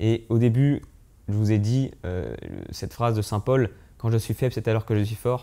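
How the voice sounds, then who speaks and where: Pausing long and often, a man speaks at a moderate pace with fairly even intonation and a dark, mellow tone. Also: medium pitch for a man. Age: 20s. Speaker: young missionary. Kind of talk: testimony; interview testimony. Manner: halting. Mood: calm, earnest, reflective. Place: home room. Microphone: lapel.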